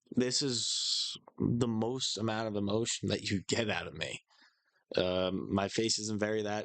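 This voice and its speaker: A man with an American accent speaks in a fairly low pitch. His intonation is monotone and flat, and his pace is fairly slow. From Staten Island, New York. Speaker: vlogger. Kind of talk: personal vlog. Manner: flat, unexpressive.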